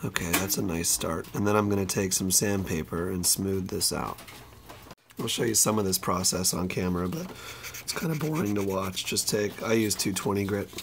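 A man with a fairly low pitch and ordinary pitch variation talks at a moderate pace over noticeable background noise. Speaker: saxophone repairman. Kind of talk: casual tutorial talk to camera.

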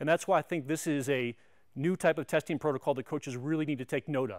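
Talking at a very fast pace, a man keeps his intonation fairly even. The background is quiet. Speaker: strength coach presenter. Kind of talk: tutorial. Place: gym.

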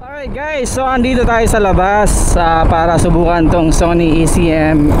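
Loud background noise fills the recording. The speech goes at a fairly slow pace. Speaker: motovlogger testing a mic. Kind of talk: casual vlog commentary. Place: motorbike. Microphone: helmet.

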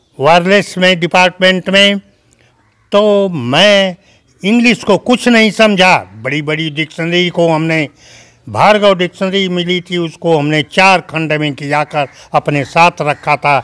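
Speaking at a very slow pace over a quiet background, a man has a high pitch and a bright, sharp tone. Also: ordinary pitch variation. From India, Ghazipur, eastern Uttar Pradesh; Uttar Pradesh. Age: 80s+. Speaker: retired police officer, cricketer's grandfather; interviewee. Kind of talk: interview. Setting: at home. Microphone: handheld.

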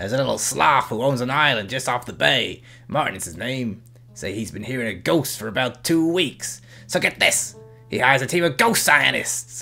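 A man in a put-on character voice at medium pitch and a moderate pace, with clear music in the background. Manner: voice slipping, yells the case title; casual, chatty, upbeat.

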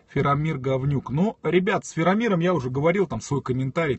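The man's voice carries some breathiness. He rushes along at a very fast clip. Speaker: streamer. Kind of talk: casual live stream chat reading comments. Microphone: phone near.

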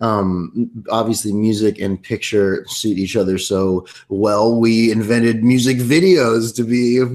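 This voice belongs to a man. He talks at a fairly unhurried pace. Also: quiet background. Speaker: singer-songwriter and actor. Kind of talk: casual interview chat. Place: home room. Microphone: webcam.

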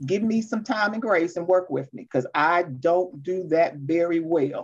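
A woman speaks at a moderate pace and a fairly low pitch, with ordinary pitch variation.

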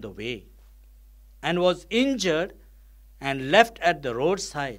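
At a slow pace, a man speaks with a fairly bright tone and a fairly high pitch that makes big swings.

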